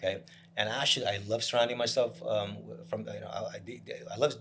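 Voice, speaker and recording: Talking very fast, a man with an American accent uses a medium-pitched, somewhat breathy voice with lively intonation. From New Jersey, Piscataway. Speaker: real estate broker. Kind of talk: casual chat.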